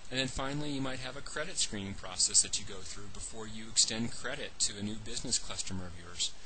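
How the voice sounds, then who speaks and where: Amid noticeable background noise and audible room echo, a man with a medium pitch talks at a very fast pace with hardly any pauses and ordinary pitch variation. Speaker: business coach. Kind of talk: webinar presentation. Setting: online webinar.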